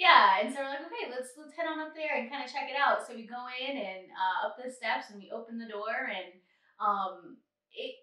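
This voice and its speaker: A woman speaks in a raised, projected voice at a high pitch and moderate pace. Her intonation is lively, and her loudness swings a lot. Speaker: travel podcast co-host. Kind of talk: casual chat.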